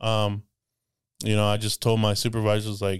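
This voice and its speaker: With an American accent, a man speaks at a fairly quick pace in a fairly low, monotone, flat voice, on a very clean recording with a silent background. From US, Mexican American family from an inner-city neighborhood. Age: 20s. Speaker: military veteran and police officer. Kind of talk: casual chat. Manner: halting.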